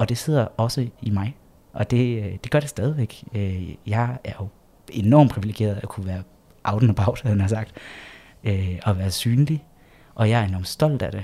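Long, frequent pauses break up a somewhat breathy voice with a dark, mellow tone. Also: man, medium pitch for a man, ordinary pitch variation, moderate pace. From Jutland, Denmark. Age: 30s. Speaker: LGBT organisation project leader. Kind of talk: interview. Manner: hesitant with frequent fillers.

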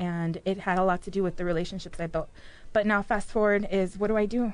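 Talking at a very fast pace, a woman with a Chicago accent keeps a medium pitch. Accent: Chicago American English. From Mexico City, raised in Chicago. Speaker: business owner. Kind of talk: casual interview chat.

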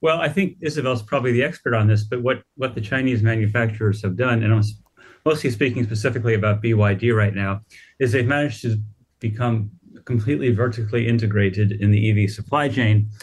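In an American accent, a man with a medium pitch and ordinary pitch variation speaks very fast, sounding somewhat breathy. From United States. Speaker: automotive news editor. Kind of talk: radio panel interview.

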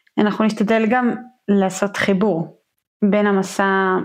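The background is quiet as a woman speaks at a fairly slow pace. Her medium pitch holds a monotone, flat intonation. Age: 30s. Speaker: podcast host, hydrotherapist. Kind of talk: casual chat.

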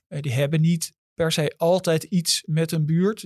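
Dry and close with no echo, a man speaks at a moderate pace in a plain, everyday voice, fairly high in pitch with fairly even intonation. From Amsterdam. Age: 50s. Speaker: journalist. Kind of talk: interview.

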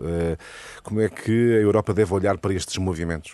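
A man speaks with a fairly low pitch. His tone is dark and mellow, and his intonation fairly even. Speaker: radio moderator. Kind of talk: moderating radio debate. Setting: radio studio.

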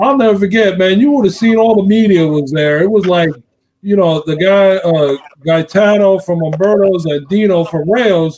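A man's high voice moves with ordinary pitch variation as he keeps a moderate pace. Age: 50s. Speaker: sports interview show host. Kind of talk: casual interview chat.

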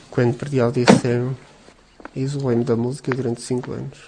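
A man talks at a fairly quick pace in a monotone, flat intonation over noticeable background noise. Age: 40s. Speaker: patient with cystic fibrosis, factory worker. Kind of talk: interview testimony.

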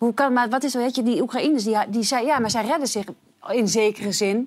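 A woman speaks at a fairly quick pace in a very clean recording with a silent background. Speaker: talk show presenter. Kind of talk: live talk show. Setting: studio.

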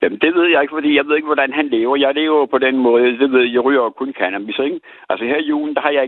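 Talking very fast, a man keeps a fairly high pitch with ordinary pitch variation. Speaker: caller. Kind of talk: testimony. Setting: phone call.

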